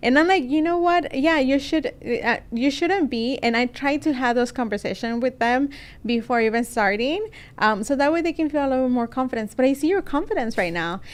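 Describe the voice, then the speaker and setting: With a Spanish accent, a woman talks at a fairly quick pace in a high pitch, her intonation lively. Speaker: podcast host. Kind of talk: interview. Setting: studio.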